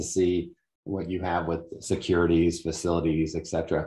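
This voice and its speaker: The quiet background carries a man's very deep, low pitch. He speaks at a fairly slow pace. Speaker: webinar host. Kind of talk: webinar introduction. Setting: video call. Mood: warm, appreciative. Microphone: video call.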